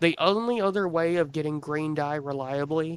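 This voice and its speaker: A man puts on a character voice at a fairly high pitch. It sounds strained and moves at a moderate pace. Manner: strained, sarcastic emphasis on one word.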